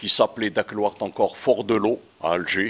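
Very slow delivery with ordinary pitch variation. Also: man. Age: 70s. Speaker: childhood friend of filmmaker. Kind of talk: public talk at film screening. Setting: screening room with audience. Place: hall. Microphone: handheld.

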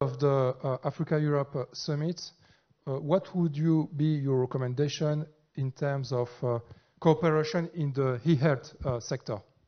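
Heard over a quiet background, a normal speaking voice moves at a fairly slow pace with fairly even intonation. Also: man, fairly high pitch for a man. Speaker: panel moderator. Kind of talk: conference panel moderation. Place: stage. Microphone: handheld.

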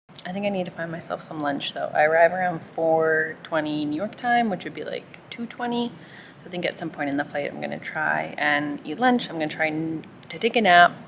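At a moderate pace, a woman speaks at a fairly low pitch with ordinary pitch variation, over light background noise. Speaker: travel vlogger. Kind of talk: casual vlog chat. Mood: calm, a bit excited. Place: station. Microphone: phone near.

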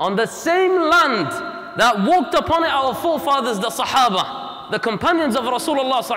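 A man speaks in a raised, projected voice. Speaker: preacher. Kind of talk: sermon. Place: hall. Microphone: lapel.

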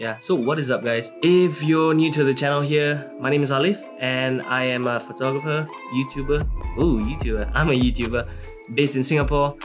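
Clear music plays in the background. A man speaks over it with ordinary pitch variation. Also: fairly quick pace. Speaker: photographer vlogger. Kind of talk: casual vlog chat. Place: home room.

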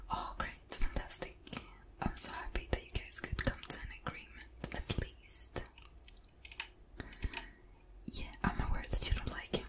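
Soft-spoken and whispering, a woman moves at a fairly slow pace with long, frequent pauses. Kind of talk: role-play phone call, soft-spoken. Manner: soft ASMR whisper on pretend call. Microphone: studio mic.

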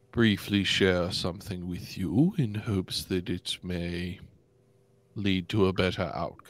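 A man's put-on character voice, very deep and low, delivered at a fairly slow pace. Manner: guarded, formal, wordy.

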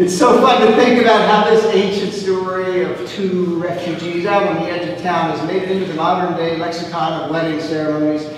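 Over clear background noise and strong room echo, a man talks at a fairly quick pace with a high pitch for a man.

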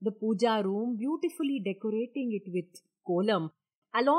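In a natural voice, someone reads aloud against a quiet background.

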